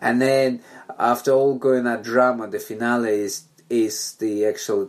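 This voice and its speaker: A man talks at a fairly slow pace with a Russian accent. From Belarus. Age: 30s. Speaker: musician. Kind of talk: casual chat. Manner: halting.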